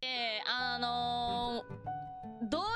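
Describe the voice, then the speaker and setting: Recorded with a dry sound with no echo, a woman with a Kansai accent speaks against loud background noise. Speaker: virtual streamer. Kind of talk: casual gaming livestream commentary. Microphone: studio mic.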